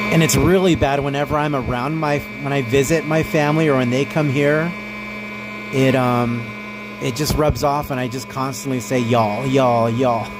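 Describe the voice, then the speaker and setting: Speaking with an American accent, a man uses a medium pitch, ordinary pitch variation and a moderate pace. Noticeable background noise and audible room echo are present. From US, not Texas (Texan parents). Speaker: streamer. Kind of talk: casual live stream chat. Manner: loud.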